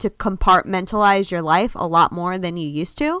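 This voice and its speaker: Recorded very cleanly against a silent background, a woman with an American accent speaks at a moderate pace and medium pitch in an unremarkable speaking voice. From Florida. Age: 20s. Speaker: podcast co-host. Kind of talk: casual chat.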